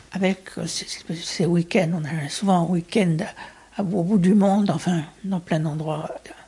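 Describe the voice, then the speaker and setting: Somewhat breathy and dark, mellow in tone, a woman speaks fairly slowly at a fairly low pitch. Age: 60s. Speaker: former community radio producer. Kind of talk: interview testimony.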